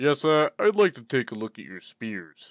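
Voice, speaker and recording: This is a put-on character voice with very wide pitch swings. The recording is very clean, with a silent background. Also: man. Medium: actual play. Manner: polite.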